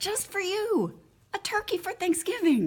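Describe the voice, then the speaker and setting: Put on as a character, this squeaky, extremely high voice moves at a moderate pace. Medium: read story. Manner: sweet, coaxing.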